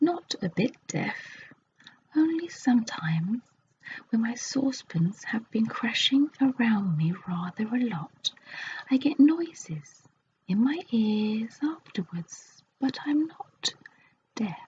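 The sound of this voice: In a put-on character voice, a woman speaks slowly at a fairly high pitch, with a dark, mellow tone, a husky, rough edge and big pitch swings.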